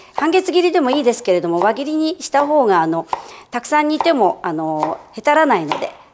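With very wide pitch swings, a woman delivers her words fairly quickly. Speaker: cooking teacher. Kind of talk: tutorial. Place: kitchen. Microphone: lapel.

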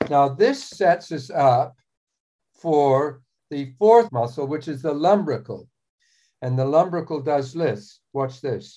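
A man speaks at a fairly slow pace in a dark, mellow tone. The background is quiet. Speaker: anatomy demonstrator. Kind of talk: tutorial. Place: home room. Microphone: phone near.

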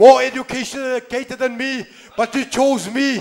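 A man's extremely high-pitched voice with fairly even intonation. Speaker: church preacher. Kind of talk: sermon. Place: church. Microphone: handheld.

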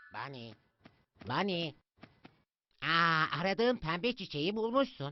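A man uses a cartoonish character voice with a high pitch. He talks at a fairly slow pace with long, frequent pauses.

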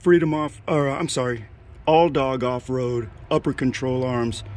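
A man's voice at a moderate pace, with fairly even intonation, a dry sound with no echo, and light background noise. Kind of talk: casual vlog chat. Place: street. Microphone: phone near.

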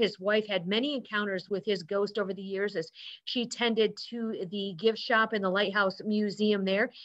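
At a moderate pace, a woman talks against a quiet background. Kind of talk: lecture. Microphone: webcam.

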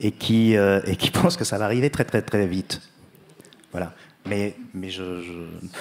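A man's fairly low voice at a fairly slow pace, with long, frequent pauses and fairly even intonation. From France, Bordeaux; France. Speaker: writer; guest. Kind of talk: literary panel discussion. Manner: halting, many hesitations. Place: stage. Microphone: handheld.

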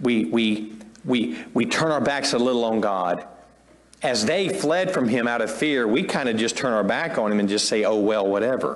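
A man's intonation is lively, and his pace is moderate. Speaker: pastor. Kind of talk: sermon. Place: church. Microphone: lapel.

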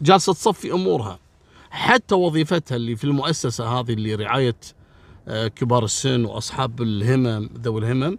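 A man's medium-pitched voice in a Kuwaiti accent, moderate in pace, with lively intonation. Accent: Kuwaiti Gulf Arabic. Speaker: crime storyteller. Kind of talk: storytelling narration. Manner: casual, colloquial.

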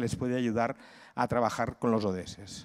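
With a quiet background behind him, the man speaks at a fairly quick pace. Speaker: cultural management consultant and lecturer; conference speaker. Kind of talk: conference talk. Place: hall. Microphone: handheld.

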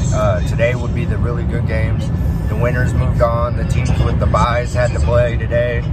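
Clear music sounds in the background of a dry recording with no echo. A man talks at a moderate pace. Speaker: parent vlogger. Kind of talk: casual vlog chat. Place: car. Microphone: phone near.

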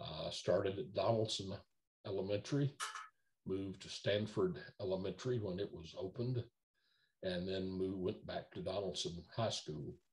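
Pausing long and often, a man speaks at a fairly low pitch in a somewhat breathy voice with a Middle Tennessee accent. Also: ordinary pitch variation, moderate pace. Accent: US Southern (Middle Tennessee). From Nashville, Tennessee. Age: 70s. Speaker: entertainment lawyer. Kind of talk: oral history interview. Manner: halting, many fillers and repetitions. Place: home room. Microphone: video call.

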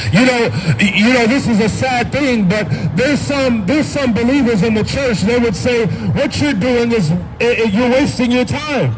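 A man speaks at an extremely high pitch with ordinary pitch variation and very even loudness over noticeable background noise. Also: moderate pace. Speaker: street preacher. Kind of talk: street sermon. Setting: outdoors. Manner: earnest, urgent pleading; repetitive, emphatic, with frequent amens. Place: street.

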